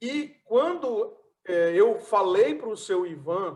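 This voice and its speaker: A man speaks with a northeastern Brazilian accent. His pitch is high. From Brazilian Northeast, Fortaleza. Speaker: transport consultant and event host. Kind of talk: online event presentation. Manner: halting.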